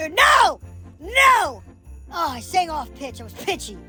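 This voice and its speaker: A cartoonish character voice speaks at a fairly slow pace. Faint music plays in the background. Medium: puppet. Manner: dramatic, easily upset.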